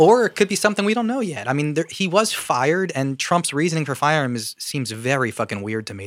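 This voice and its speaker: With an American accent, a man speaks very fast at a fairly high pitch, making very wide pitch swings on a very clean recording with a silent background. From Philadelphia. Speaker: podcast co-host. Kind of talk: casual political banter.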